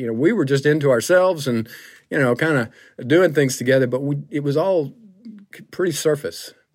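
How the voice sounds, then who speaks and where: On a very clean recording with a silent background, a man speaks in a Southern US accent. His fairly high pitch has lively intonation. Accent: Southern US (Georgia). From US South, Griffin, Georgia. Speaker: pastor. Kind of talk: testimony. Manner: halting, many fillers.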